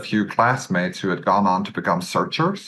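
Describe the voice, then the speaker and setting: This man has a fairly low pitch and a bright, sharp tone. He speaks with a Norwegian accent and fairly even intonation. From west coast of Norway. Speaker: business acquirer, entrepreneur. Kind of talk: podcast interview.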